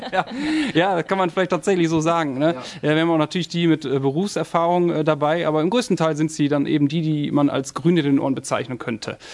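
A man at a very fast pace with ordinary pitch variation, amid noticeable background noise. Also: fairly high pitch for a man. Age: 30s. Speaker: police officer and recruiter. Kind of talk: casual chat.

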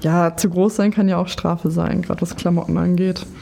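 A woman speaks in a normal speaking voice, fairly low in pitch, at a moderate pace with fairly even intonation. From Lower Saxony. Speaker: podcast host and nurse. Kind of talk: casual interview. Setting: studio.

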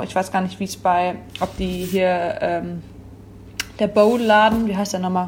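Speaking at a moderate pace, a woman with a medium pitch sounds somewhat breathy, her intonation monotone and flat. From Rhineland, Oberbergischer Kreis (Wipperfürth). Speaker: café owner. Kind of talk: casual interview.

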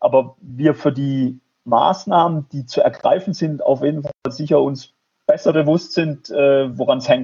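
Fairly slow and somewhat breathy, a man speaks at a fairly high pitch with fairly even intonation. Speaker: professor of health economics. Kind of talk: interview. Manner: halting, many repetitions and fillers.

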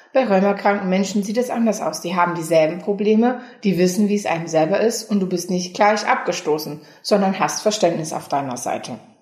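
A woman speaks at a fairly quick pace with ordinary pitch variation, with noticeable background noise and audible room echo. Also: medium pitch for a woman. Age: 20s. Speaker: patient volunteer in a self-help association. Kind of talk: interview.

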